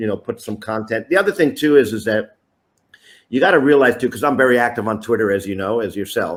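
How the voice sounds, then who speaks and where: This man has an unremarkable speaking voice at medium pitch with ordinary pitch variation. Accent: American. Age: 60s. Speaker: youth soccer coach. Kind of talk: interview.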